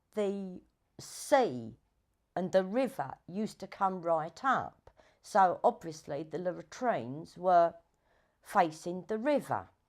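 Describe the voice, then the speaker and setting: A woman with a London accent speaks at a very slow pace, her pitch swinging very widely against a quiet background. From southeast London. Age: 60s. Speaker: documentary subject. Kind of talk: documentary interview. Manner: halting. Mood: reflective, storytelling.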